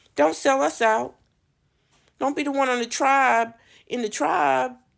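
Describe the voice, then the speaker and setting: Animated in tone, a woman speaks at a fairly slow pace. The recording is very clean with a silent background. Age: 60s. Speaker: commentary vlogger. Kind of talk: opinion rant.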